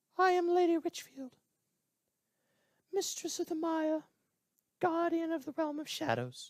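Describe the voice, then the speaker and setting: A put-on character voice, extremely high, squeaky and strained, moves at a moderate pace broken by long, frequent pauses. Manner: grand.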